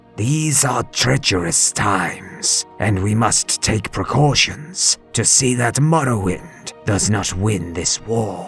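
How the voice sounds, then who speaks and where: Over clear background music, a man uses a put-on character voice at medium pitch and a fairly slow pace. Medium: read story. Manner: formal, courteous.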